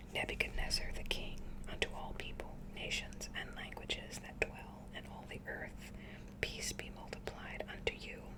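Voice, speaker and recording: Whispering at a fairly slow pace, a woman shows big swings in loudness over noticeable background noise. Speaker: ASMR creator. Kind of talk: whispered scripture reading. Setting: studio, close microphone. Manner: whispered, soft, slow.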